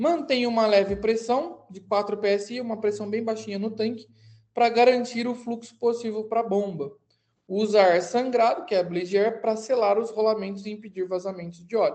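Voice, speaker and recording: Ordinary pitch variation in a dark, mellow tone. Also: woman, fairly high pitch for a woman, moderate pace. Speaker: aviation mechanics instructor. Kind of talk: online lecture. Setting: recorded live online class.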